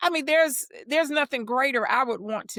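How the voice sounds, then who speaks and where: With an American accent, a woman talks at a moderate pace in a bright, sharp tone with lively intonation, the sound dry and close with no echo. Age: 70s. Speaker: childcare center director. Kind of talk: interview.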